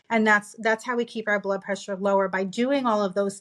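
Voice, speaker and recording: In a very clean recording with a silent background, a woman speaks with a New York accent. Her pitch is medium and her intonation fairly even. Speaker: optometrist. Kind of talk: interview. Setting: podcast. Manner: fast.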